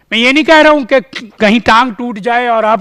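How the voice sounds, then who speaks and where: High pitch from a man, with ordinary pitch variation. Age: 70s. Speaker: conference speaker. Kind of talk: conference talk. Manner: halting.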